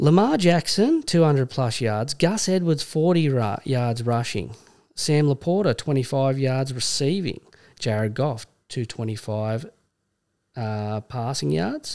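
In an Australian accent, a man speaks at medium pitch and a fairly slow pace with lively intonation. The recording is very clean, with a silent background. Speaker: podcast host. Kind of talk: casual banter. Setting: studio. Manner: casual, jokey.

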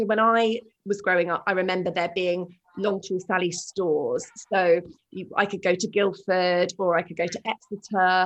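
Against a quiet background, a woman with a British accent speaks at a moderate pace and medium pitch, her intonation monotone and flat. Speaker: podcast host and shoe brand founder. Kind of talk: interview conversation.

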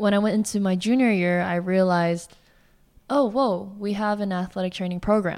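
A woman with a medium pitch talks at a moderate pace with fairly even intonation. The recording is very clean with a silent background. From Southern California (Walnut, near Pomona). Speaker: physical therapist. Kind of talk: casual interview.

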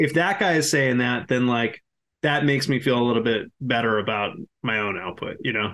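With an American accent, a man talks at a fairly quick pace in a medium pitch, his bright, sharp tone moving with ordinary pitch variation. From Massachusetts. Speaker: screenwriter. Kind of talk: casual chat.

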